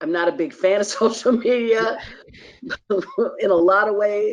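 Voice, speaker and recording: A normal speaking voice from a woman, medium in pitch, at a moderate pace with ordinary pitch variation. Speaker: stadium PA announcer. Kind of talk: interview answer.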